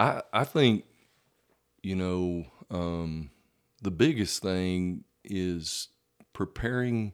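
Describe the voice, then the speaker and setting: A man with a Texan accent, very deep, low pitch, ordinary pitch variation, a very slow pace and long, frequent pauses, on a very clean recording with a silent background. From Texas (Vernon, North Texas). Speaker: high school football coach. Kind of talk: casual interview.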